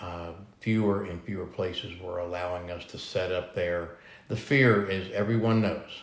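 A man with an American accent speaks at a moderate pace and a very deep, low pitch. His intonation is fairly even, and audible room echo surrounds him. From Texas. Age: 60s. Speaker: food truck owner, military veteran. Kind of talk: interview.

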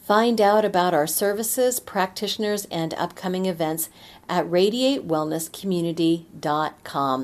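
At a fairly slow pace, a woman talks at medium pitch in an unremarkable speaking voice. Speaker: podcast host. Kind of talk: podcast interview.

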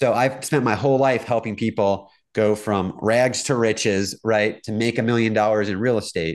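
A plain, everyday voice from a man, medium pitch, fairly even intonation, moderate pace with hardly any pauses, quiet background. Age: 40s. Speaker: real estate tech entrepreneur. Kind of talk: interview.

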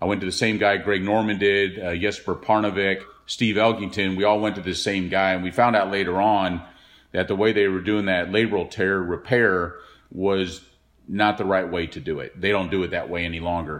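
Monotone, flat intonation marks a man speaking at a moderate pace with an American accent. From Texas (Dallas). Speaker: retired professional golfer. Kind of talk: interview recollection.

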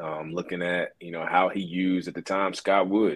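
A man speaks at a fairly quick pace in a very deep, low voice. The background is quiet. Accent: Southern US. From US South, northwest Alabama. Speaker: former college basketball player. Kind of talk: casual interview.

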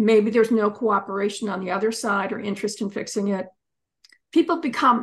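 Somewhat breathy, a woman with an American accent speaks at a fairly high pitch. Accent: American, taken for Canadian. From US, Pennsylvania. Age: 70s. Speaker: divorce attorney and author. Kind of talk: interview.

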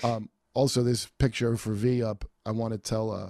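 Recorded very cleanly against a silent background, the man's medium-pitched voice has a dark, mellow tone and a dry, close sound with no echo. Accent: American. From New York. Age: 40s. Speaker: comedian and podcast host. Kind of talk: casual chat. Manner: halting.

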